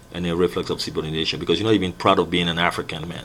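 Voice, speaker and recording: A man speaks in a very deep, low pitch. Noticeable background noise runs underneath. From Gabon. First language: Myene (also French). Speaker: video blogger. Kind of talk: monologue commentary. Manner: animated.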